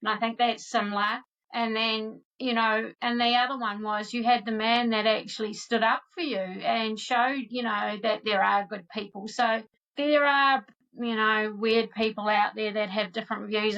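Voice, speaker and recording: With a New Zealand accent and a fairly high pitch, a woman speaks at a moderate pace in a monotone, flat intonation. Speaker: podcast host. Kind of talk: interview conversation.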